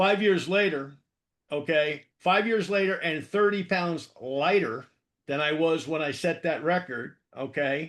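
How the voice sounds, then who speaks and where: A man speaks at a fairly slow pace in a high voice, with ordinary pitch variation. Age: 60s. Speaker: author and marketing consultant, powerlifter. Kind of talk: interview. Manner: repetitive fillers, frequent okay and stammered repeats.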